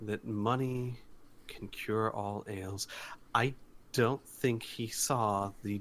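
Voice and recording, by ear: The voice is a natural one. It reads aloud.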